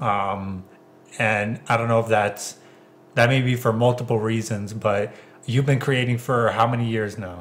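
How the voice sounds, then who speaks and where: At a fairly slow pace, a man talks in a normal speaking voice at a medium pitch. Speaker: podcast host. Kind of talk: casual chat.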